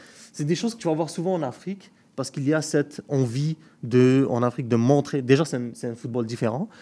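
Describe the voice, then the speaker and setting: A man's fairly high-pitched voice with a dark, mellow tone, a fairly quick pace and ordinary pitch variation. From Algeria. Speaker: football pundit. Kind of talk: casual chat.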